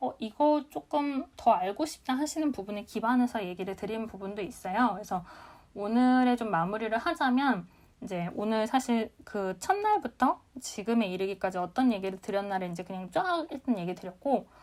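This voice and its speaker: Lively intonation from a woman with an unremarkable speaking voice, fairly high in pitch, at a moderate pace. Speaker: business talk show host. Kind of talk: live audio room lecture. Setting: live audio chat room broadcast.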